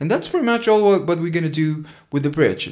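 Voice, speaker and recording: Very wide pitch swings at a fairly quick pace. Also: man. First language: Spanish. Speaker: guitar teacher. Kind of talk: tutorial. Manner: halting.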